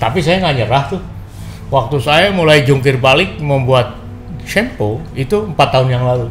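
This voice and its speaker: A man of medium pitch speaks at a moderate pace with ordinary pitch variation, with audible room echo and noticeable background noise. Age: 60s. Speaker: small business owner. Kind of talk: interview testimony. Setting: podcast interview.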